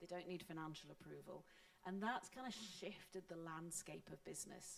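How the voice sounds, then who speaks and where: With a Scottish accent, a woman speaks at a moderate pace in a medium pitch, her intonation fairly even. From Scotland. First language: Scots. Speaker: panelist on open source. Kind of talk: panel discussion.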